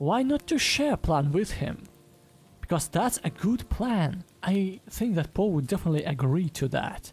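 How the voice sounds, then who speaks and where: A woman speaks quietly, her tone dark, mellow and somewhat breathy. Her pitch swings very widely. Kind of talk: casual podcast review talk.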